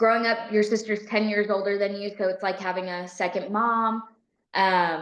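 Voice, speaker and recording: A woman with a Southern US accent talks at a moderate pace in a monotone, flat intonation. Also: medium pitch for a woman. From US South, Tennessee near Memphis. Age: 20s. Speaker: police officer. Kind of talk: podcast interview.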